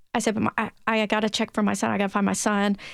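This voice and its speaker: In a Tennessee accent, a woman with a medium pitch speaks on a very clean recording with a silent background. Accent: Tennessee twang. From Tennessee (Williamson County). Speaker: gun safety advocate, parent. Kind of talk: interview testimony.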